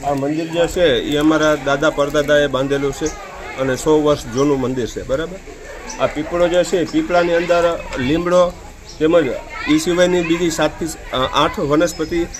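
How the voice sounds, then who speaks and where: Amid crowd noise and audible room echo, a man speaks at a fairly high pitch with fairly even intonation. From Gujarat, Saurashtra (Gir Gadhada area). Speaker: villager, family of temple priests. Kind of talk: interview.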